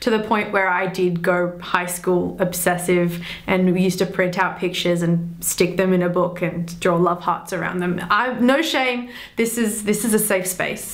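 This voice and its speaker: A woman at medium pitch and moderate pace, with audible room echo and noticeable background noise. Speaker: film review youtuber. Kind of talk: personal storytelling to camera.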